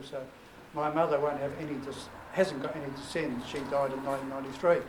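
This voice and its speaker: Over noticeable background noise and audible room echo, a man with a fairly high pitch talks at a very fast pace. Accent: New Zealand. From New Zealand. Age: 70s. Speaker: family reunion organiser, retired teacher. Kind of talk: welcome speech to family gathering.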